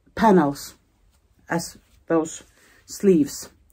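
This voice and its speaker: A dark, mellow tone with a Finnish accent. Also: woman. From Finland. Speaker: knitting vlogger and pattern designer. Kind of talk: casual vlog talk. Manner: halting, searching for words.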